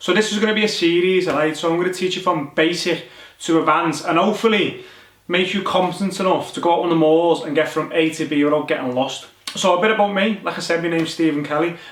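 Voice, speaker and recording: Speaking very fast with a strong Liverpool accent, a man uses a high pitch and fairly even intonation, with audible room echo and noticeable background noise around him. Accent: strong Liverpool (Scouse). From northern England, Liverpool. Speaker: soldier and survival instructor. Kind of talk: tutorial. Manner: casual, conversational.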